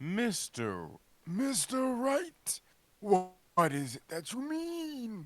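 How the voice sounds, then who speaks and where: A man puts on a pompous character voice, high-pitched for a man, with very wide pitch swings. He talks at a very slow pace. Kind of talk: comic overacting. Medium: game stream. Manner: pompous, slightly confused.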